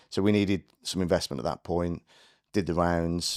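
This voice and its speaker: On a very clean recording with a silent background and a dry, close sound with no echo, a man with a very deep, low pitch talks at a fairly quick pace with fairly even intonation. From Birmingham, English Midlands. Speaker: business founder. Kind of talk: podcast interview. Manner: many fillers and restarts.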